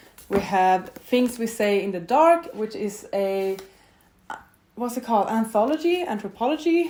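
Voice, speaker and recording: A woman with a Swedish accent, fairly high pitch and lively intonation. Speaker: booktuber. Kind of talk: casual vlog talk to camera. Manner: casual, conversational with fillers.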